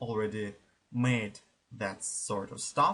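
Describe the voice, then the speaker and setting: A man is speaking here. His accent is non-native. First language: not English. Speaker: gaming YouTuber. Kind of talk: let's play commentary. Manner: halting.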